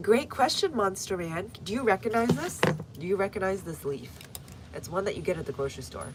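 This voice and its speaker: Against noticeable background noise, a woman with an American accent and medium pitch speaks at a fairly quick pace with lively intonation and big swings in loudness. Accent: American, viewer remarked on. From US, North Texas. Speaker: gardening livestreamer. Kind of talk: live stream chat and gardening tutorial. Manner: casual, conversational.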